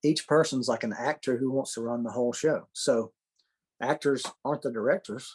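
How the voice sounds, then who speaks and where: The sound is dry and close with no echo as a man speaks at a moderate pace. He has a medium pitch with ordinary pitch variation. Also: quiet background. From US Deep South. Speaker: AA speaker sharing recovery. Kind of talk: recovery talk. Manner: halting, with many repeated words.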